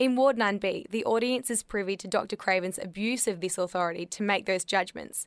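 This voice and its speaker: On a very clean recording with a silent background, a woman with an Australian accent speaks at a fairly quick pace, her medium pitch showing ordinary variation. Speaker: theatre reviewer. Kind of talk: scripted narration.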